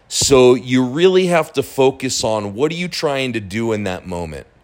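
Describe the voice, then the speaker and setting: A man with an ordinary speaking voice talks at a fairly slow pace, using a medium pitch and lively intonation. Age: 40s. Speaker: online marketing podcaster. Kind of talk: casual monologue. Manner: casual, with fillers and repetitions.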